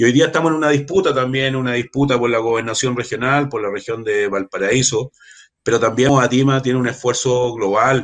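A man with a medium pitch rattles off his words at a very fast pace. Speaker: water rights activist and political candidate. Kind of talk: casual interview. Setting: online live stream. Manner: halting.

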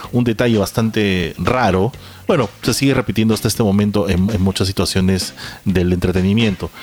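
Over noticeable background noise, a man speaks at a fairly quick pace in a fairly low pitch, with ordinary pitch variation and very even loudness. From Peru. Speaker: podcast host. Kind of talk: casual chat.

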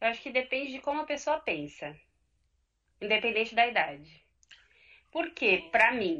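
This woman's voice is bright and sharp, fairly high-pitched, with very wide pitch swings and vocal fry. She talks at a moderate pace with long, frequent pauses against a quiet background. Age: 30s. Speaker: coach. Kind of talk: live podcast discussion. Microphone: connection freezing.

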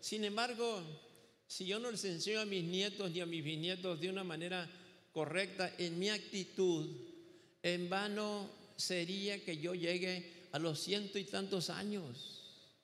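A high-pitched man's voice with fairly even intonation at a fairly slow pace. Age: 70s. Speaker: pastor. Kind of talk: sermon. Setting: church.

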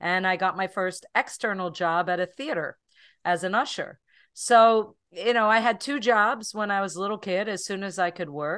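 A woman's plain, everyday voice, medium in pitch with ordinary variation, at a moderate pace against a quiet background. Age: 60s. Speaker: holistic health expert and author. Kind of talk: interview.

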